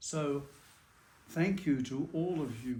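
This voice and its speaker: A man with a New Zealand accent speaks very slowly, fairly high in pitch, somewhat breathy, with a dark, mellow tone. Room echo is audible. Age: 90s. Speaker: religious brother. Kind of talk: interview testimony.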